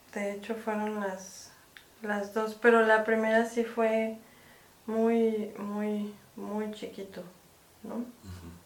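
A woman with a Mexican accent speaks at a very slow pace, with long, frequent pauses and big swings in loudness. Her fairly high voice holds a monotone, flat intonation amid audible room echo. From Mexico. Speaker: film producer and director. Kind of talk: casual interview.

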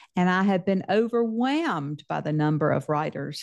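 Against a quiet background, a woman with a Southern US accent speaks at a moderate pace in a fairly low pitch with lively intonation. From Mississippi, US South. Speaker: novelist. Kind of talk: interview.

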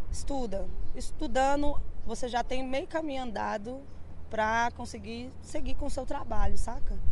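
In a room with audible echo, a woman speaks at a moderate pace, her loudness swinging widely. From Contagem, Minas Gerais, Brazil. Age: 30s. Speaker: DJ and music producer. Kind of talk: interview. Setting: outdoors on a bar street. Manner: casual slangy.

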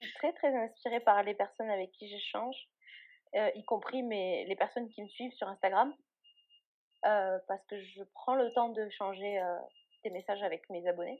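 The delivery has a moderate pace, ordinary pitch variation, big swings in loudness, and long, frequent pauses. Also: woman, medium pitch for a woman. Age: 20s. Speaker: blogger on eating disorders. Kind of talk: interview testimony.

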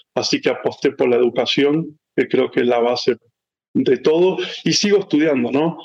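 A man speaks with an Argentine accent. His pace is fairly quick. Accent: Argentine Spanish (voseo). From Argentina, San Rafael, Mendoza. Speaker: tech executive. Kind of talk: interview.

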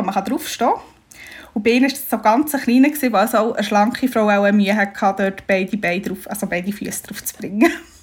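A woman speaks fairly quickly at a fairly high pitch. Her voice is somewhat breathy, with ordinary pitch variation. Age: 30s. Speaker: bride-to-be. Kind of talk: casual chat.

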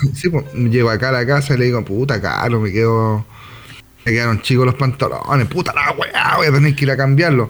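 Music plays behind a man with a Chilean accent and a medium pitch. He talks at a fairly quick pace with ordinary pitch variation and very even loudness. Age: 30s. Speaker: podcast co-host. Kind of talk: casual chat.

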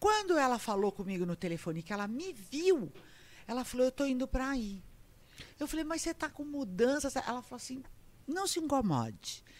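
Delivery comes at a fairly quick pace. Pitch moves in very wide swings. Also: woman, high pitch for a woman. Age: 60s. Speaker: comedian and actress. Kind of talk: casual chat. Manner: animated.

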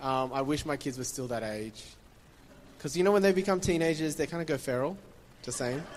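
A man with an Australian accent, fairly high in pitch, at a fairly quick pace with ordinary pitch variation and long, frequent pauses. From Taiwan, then Sydney from age nine. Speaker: pastor. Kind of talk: sermon. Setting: church stage with audience.

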